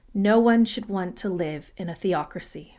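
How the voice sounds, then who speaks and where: A woman with an American accent speaks in a normal speaking voice at medium pitch, with ordinary pitch variation and a moderate pace, on a very clean recording with a silent background. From United States. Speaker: history podcaster. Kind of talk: impassioned commentary; scripted narration.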